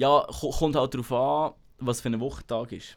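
On a very clean recording with a silent background, a man with a Bernese accent speaks at a medium pitch with vocal fry. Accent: Bernese Swiss German. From Switzerland, Bernese Seeland. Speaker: podcast host. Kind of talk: casual chat.

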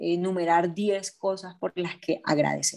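This woman has a plain, everyday voice, with a fairly low pitch and fairly even intonation. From Barranquilla, Colombia. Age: 30s. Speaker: radio announcer. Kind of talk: interview.

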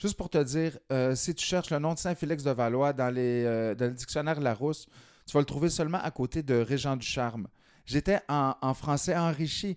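A man's normal speaking voice, fairly high in pitch, at a moderate pace with ordinary pitch variation and a dry, close sound with no echo. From rural Quebec. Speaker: slam poet. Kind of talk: casual interview.

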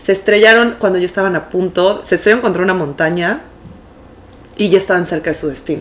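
Very fast speech from a woman at a medium pitch, with ordinary pitch variation and noticeable background noise. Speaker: podcast co-host. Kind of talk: casual chat.

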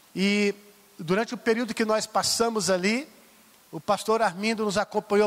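A high-pitched male voice in a dry, close sound with no echo. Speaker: bishop. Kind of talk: sermon. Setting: church.

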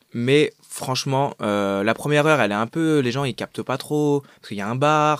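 This man has a plain, everyday voice, a medium pitch and ordinary pitch variation, speaking at a fairly quick pace. The recording is very clean with a silent background and a dry, close sound with no echo. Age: 20s. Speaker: actor. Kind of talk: casual chat.

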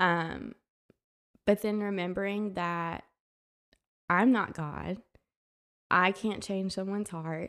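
A woman with a medium-pitched voice talks at a very slow pace with long, frequent pauses and fairly even intonation, in a very clean recording with a silent background. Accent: Alabama. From US South, Tuscaloosa, Alabama. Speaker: wedding photographer, former Spanish teacher. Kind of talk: interview, personal testimony.

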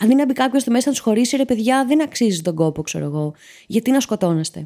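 Very cleanly recorded over a silent background, a woman with a fairly high pitch and a dark, mellow tone talks at a fairly quick pace with very wide pitch swings. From Greece, Patras. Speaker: podcast host. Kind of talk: comedic solo monologue.

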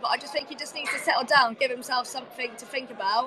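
A woman speaks very fast in a raised, projected voice with a high pitch. Noticeable background noise runs underneath. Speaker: women's football captain and guest pundit. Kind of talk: match punditry chat.

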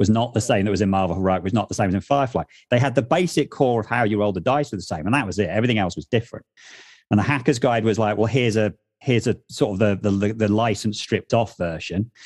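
Dry and close with no echo, a man talks at a very fast pace in a fairly low voice with ordinary pitch variation over a quiet background. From Wales (half Welsh, half English). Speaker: tabletop RPG podcast co-host. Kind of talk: casual chat.

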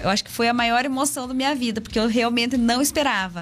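A woman at a fairly high pitch and fairly quick pace, with ordinary pitch variation and noticeable background noise. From Paraná, Brazil (Castro region). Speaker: dairy farmer and motivational speaker. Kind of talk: interview.

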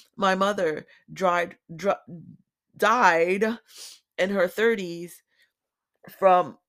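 The voice carries an American accent with ordinary pitch variation. The recording is very clean, with a silent background. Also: woman. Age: 40s. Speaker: podcast host, electrician. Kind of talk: personal monologue.

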